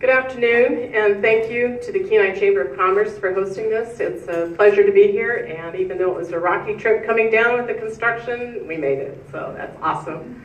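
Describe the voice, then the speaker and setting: Talking at a fairly quick pace with hardly any pauses, a woman with an Alaskan accent has a fairly high pitch, lively intonation and big swings in loudness, with noticeable background noise behind her. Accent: Alaskan American English. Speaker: political candidate. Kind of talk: political forum remarks. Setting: public forum with microphone.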